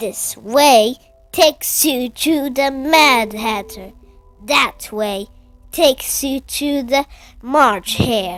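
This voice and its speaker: Faint music plays behind a female-sounding put-on character voice, high in pitch and very slow in pace. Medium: read story.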